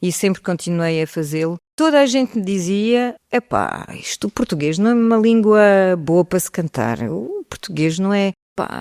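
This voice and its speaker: A woman speaks at a moderate pace in a medium pitch, her pitch swinging very widely. The sound is dry and close with no echo, and the recording is very clean over a silent background. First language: French (speaking Portuguese). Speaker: singer. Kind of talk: interview.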